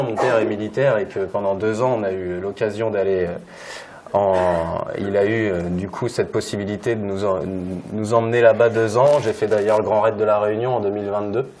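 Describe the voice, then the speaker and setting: Fairly low-pitched male speech with fairly even intonation, audible room echo and noticeable background noise. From Normandy, France (Évreux). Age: 30s. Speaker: local government sports manager. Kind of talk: conference talk. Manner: hesitant, many fillers.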